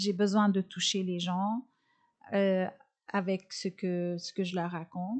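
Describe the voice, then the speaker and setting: A woman's very slow speech with a non-native accent, medium pitch, fairly even intonation and long, frequent pauses. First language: not French (speaking French). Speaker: comedian and nutritionist. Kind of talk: interview. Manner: halting, many fillers.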